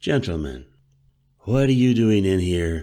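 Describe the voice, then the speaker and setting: A man's put-on character voice, very deep and low in pitch, with very wide pitch swings. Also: fairly slow pace. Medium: read story. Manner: curt, commanding.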